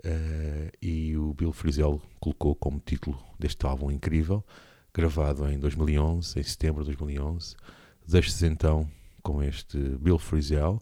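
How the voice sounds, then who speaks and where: His tone is dark and mellow. The man speaks very slowly with monotone, flat intonation. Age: 40s. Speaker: radio host and musician. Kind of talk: radio show presenting. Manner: hesitant, many fillers.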